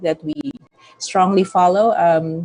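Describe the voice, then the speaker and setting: A woman's plain, everyday voice at medium pitch, moderate pace and ordinary pitch variation. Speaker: company CEO. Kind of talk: company presentation.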